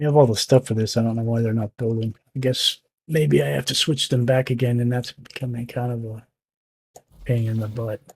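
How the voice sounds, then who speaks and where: Somewhat breathy and medium in pitch, a man talks at a fairly quick pace with ordinary pitch variation, in a dry, close sound with no echo. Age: 60s. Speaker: gaming streamer. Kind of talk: live gameplay commentary. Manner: casual, halting.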